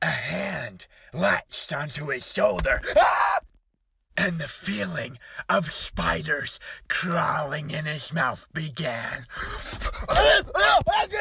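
At a very slow pace, a raspy, put-on character voice speaks. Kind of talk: comedic story reading. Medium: comedy sketch. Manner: panicked, exaggerated.

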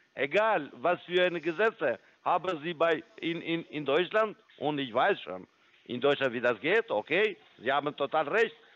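The speaker has a non-native accent and lively intonation. The pace is fairly slow. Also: man, high pitch for a man. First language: not German (speaking German). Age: 50s. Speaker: scam caller posing as trading firm support. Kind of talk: sales pitch. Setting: phone call. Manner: halting.

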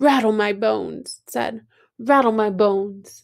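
Soft-spoken and at a moderate pace, a woman puts on a character voice with a fairly high pitch. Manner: soft, spooky.

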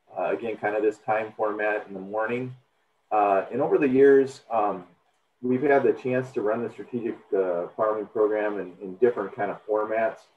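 A man's fairly low voice at a moderate pace, with audible room echo and light background noise. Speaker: extension educator, webinar host. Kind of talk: webinar welcome introduction. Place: home room.

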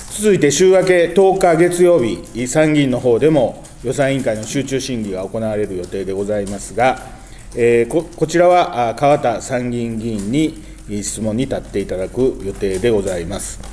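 A man's pitch swings very widely while he keeps a moderate pace. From Japan, Osaka. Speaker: politician. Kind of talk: press conference. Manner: formal. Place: meeting room. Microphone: podium.

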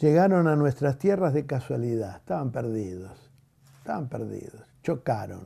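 A man's dark, mellow voice with lively intonation, against a quiet background. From Argentina. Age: 80s+. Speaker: teacher. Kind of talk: interview. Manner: halting. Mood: reflective, critical. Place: home room.

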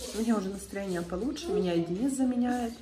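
Noticeable background noise fills the clip. Through it, a woman talks with ordinary pitch variation. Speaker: family vlogger. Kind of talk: casual vlog talk. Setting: hospital room. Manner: quiet. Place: home room. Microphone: phone near.

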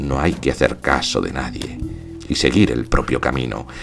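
With music playing in the background, a man speaks in a very deep, low voice. His pace is moderate and his pitch varies in an ordinary way. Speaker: actor, theatre director and audiobook narrator. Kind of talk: literary audiobook reading, first-person narration.

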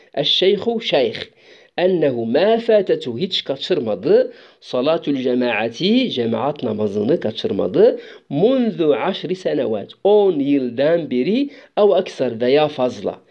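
Pitch swinging very widely, a man with a fairly high voice speaks at a very slow pace. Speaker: Arabic language teacher. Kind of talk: lecture. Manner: halting, many hesitations.

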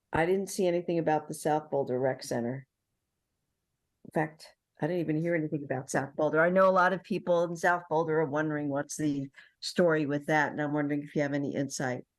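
The speaker talks at a very fast pace with fairly even intonation and a New York accent. The background is quiet. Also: woman, very deep, low pitch for a woman. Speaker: city council member. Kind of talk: public meeting questions.

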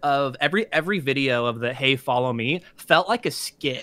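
Against a quiet background, a man speaks with a bright, sharp tone and lively intonation. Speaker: artist and YouTuber. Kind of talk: casual interview. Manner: fast talker. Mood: candid, self-deprecating, animated. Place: home room.

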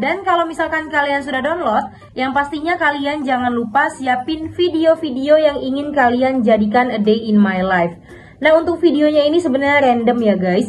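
A woman speaks at a high pitch with lively intonation and a moderate pace. Light background noise can be heard. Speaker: video editing tutorial creator. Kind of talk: tutorial. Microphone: phone near.

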